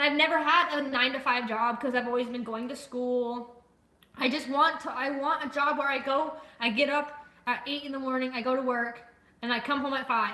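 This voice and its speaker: A woman's high, projected voice at a fairly quick pace, with fairly even intonation and audible room echo. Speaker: livestreamer. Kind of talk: casual chat. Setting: livestream with chat. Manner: fast; loud.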